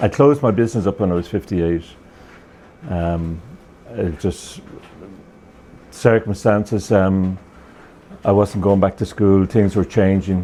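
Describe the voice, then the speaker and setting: A man speaks in a dark, mellow tone at a fairly low pitch, with ordinary pitch variation. His pace is fairly slow, with long, frequent pauses. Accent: Irish. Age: 70s. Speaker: retired TV repairman. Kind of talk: interview.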